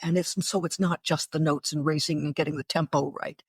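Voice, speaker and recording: In a dry, close sound with no echo, a woman with an American accent speaks in a somewhat breathy voice. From northeastern Pennsylvania. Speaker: radio broadcaster. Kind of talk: interview.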